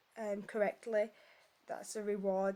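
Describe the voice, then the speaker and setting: Speaking in a Yorkshire accent, a woman with a fairly high pitch delivers her words in a monotone, flat intonation with a dark, mellow tone. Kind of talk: casual talk to camera. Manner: hesitant, conversational.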